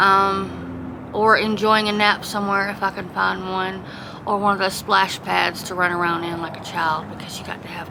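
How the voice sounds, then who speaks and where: In a Southern accent, a woman talks at a moderate pace with hardly any pauses, amid audible room echo and noticeable background noise. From US South, South Georgia. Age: 40s. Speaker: homeless woman, former pastor. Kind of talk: interview testimony.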